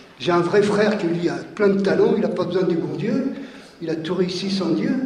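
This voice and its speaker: With noticeable background noise and audible room echo, a man talks at a moderate pace in a high pitch with fairly even intonation. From France, Lyon suburbs (Vaulx-en-Velin). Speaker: workshop participant. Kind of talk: testimony. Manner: halting.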